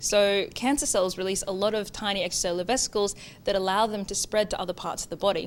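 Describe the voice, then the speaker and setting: With an Australian accent, a woman talks at a very fast pace. Her pitch sits in the medium range. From Australia, Townsville, regional North Queensland. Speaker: PhD researcher. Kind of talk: interview monologue, researcher profile.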